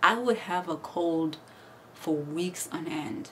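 This is a woman's voice, fairly low in pitch. Light background noise sits behind it. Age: 30s. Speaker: YouTuber and healthcare worker. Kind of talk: vlog monologue. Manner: animated. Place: home room. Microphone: phone near.

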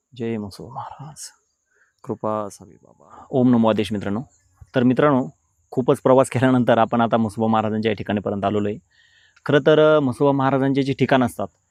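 A man speaks in an ordinary speaking voice at a medium pitch, with fairly even intonation. His loudness swings widely, and the sound is dry and close with no echo. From Maharashtra, Shirdi area. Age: 30s. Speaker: YouTube devotional vlogger. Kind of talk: walking vlog narration. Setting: outdoors in farm fields.

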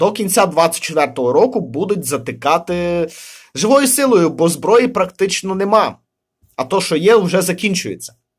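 A high-pitched man with lively intonation at a fairly slow pace against a quiet background. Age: 30s. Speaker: video blogger on news and politics; video blogger on news. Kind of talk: solo video commentary. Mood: critical, ironic. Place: home room. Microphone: phone near.

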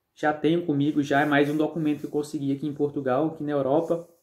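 A man speaks in a fairly high pitch with a dark, mellow tone and monotone, flat intonation. The background is quiet. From Brazil. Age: 30s. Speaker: YouTuber, immigrant vlogger. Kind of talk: vlog monologue. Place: home room. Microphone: phone near.

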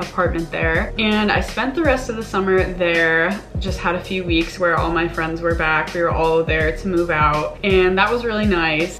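Clear music plays behind a woman speaking at a moderate pace. Her pitch is fairly low and her intonation fairly even. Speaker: vlogger. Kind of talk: casual vlog chat. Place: home room. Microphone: camera far.

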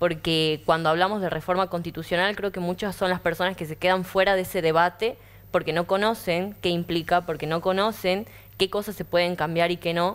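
This woman's voice sits fairly low and stays monotone and flat. She talks at a fairly quick pace. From Argentina, Tucumán; Argentina. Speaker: young panelist; panelist. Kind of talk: panel discussion. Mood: earnest, thoughtful. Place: studio. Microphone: lapel.

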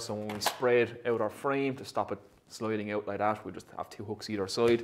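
There is light background noise as a man speaks at a fairly quick pace with fairly even intonation. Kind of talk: tutorial. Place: workshop.

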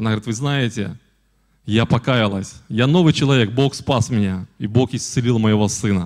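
Over a quiet background, a man speaks in a plain, everyday voice at medium pitch, with ordinary pitch variation and a moderate pace. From Belarus, Polesie region, village; Belarus. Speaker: guest. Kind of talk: church address with testimony. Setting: church. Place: church. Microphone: handheld.

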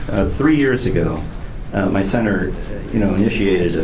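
Noticeable background noise behind a male voice with typical pitch movement. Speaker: panel moderator. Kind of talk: opening remarks. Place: meeting room. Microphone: camera far.

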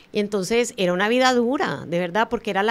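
Using a normal speaking voice, a woman talks at a moderate pace and medium pitch, with ordinary pitch variation. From Colombia. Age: 50s. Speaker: motivational speaker and author. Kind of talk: interview.

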